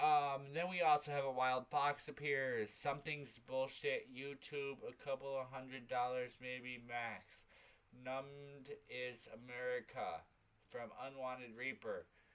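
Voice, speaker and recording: At a medium pitch, a man speaks at a fairly slow pace in a monotone, flat intonation. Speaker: talk show co-host. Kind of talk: casual livestream chat. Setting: livestream.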